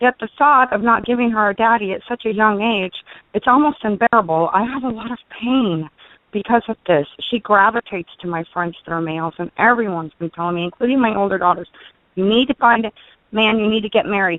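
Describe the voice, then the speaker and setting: An ordinary speaking voice from a woman, fairly high in pitch with ordinary pitch variation and a fairly quick pace. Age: 40s. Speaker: caller. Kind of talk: personal call-in question.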